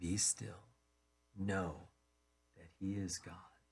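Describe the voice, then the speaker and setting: A man speaks in a very deep, low voice. His delivery is somewhat breathy. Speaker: pastor. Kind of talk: sermon. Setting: radio broadcast.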